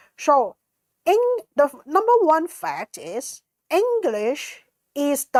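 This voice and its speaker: Speech in a Cantonese accent swings very widely in pitch, with a dry, close sound, no echo, and a very clean recording with a silent background. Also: woman. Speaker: conference organizer. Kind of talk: presentation with slides. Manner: halting, many fillers.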